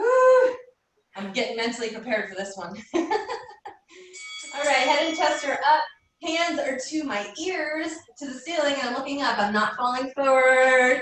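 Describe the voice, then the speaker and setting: A woman speaks at a high pitch with very wide pitch swings and a fairly slow pace. Music plays in the background, and there is audible room echo. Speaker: fitness instructor. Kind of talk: live workout class instruction. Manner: breathy exertion while exercising.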